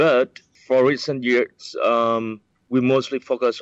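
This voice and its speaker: In a Vietnamese accent, a man speaks with fairly even intonation. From Vietnam, countryside east of Saigon. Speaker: director of a center for the blind. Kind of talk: interview. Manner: halting.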